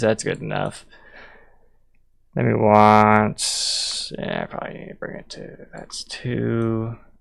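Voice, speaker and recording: This man talks at a very slow pace with monotone, flat intonation. His pitch is fairly low. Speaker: game developer streamer. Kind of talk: live stream tutorial. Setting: live stream. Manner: casual, halting.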